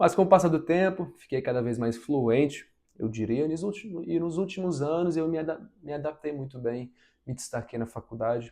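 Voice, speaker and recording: A dark, mellow tone carries lively, bouncing intonation. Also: man, fairly high pitch for a man, moderate pace. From abroad, moved to Brazil as a teen. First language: not Portuguese (speaking Portuguese). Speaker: vlogger, engineering graduate. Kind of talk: personal vlog advice. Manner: reflective, relaxed.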